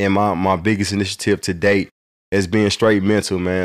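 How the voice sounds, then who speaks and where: A man with a fairly low pitch speaks in a monotone, flat intonation, his sound dry and close with no echo on a very clean recording with a silent background. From St. Louis, Missouri (North County, Hazelwood). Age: 30s. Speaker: fatherhood nonprofit founder. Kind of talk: casual chat.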